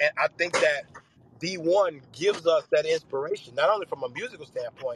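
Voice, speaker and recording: A man speaks in a Memphis accent at a high pitch with ordinary pitch variation. The sound is dry and close, with no echo. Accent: US Southern (Memphis). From Memphis, Tennessee. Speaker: pastor. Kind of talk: panel discussion.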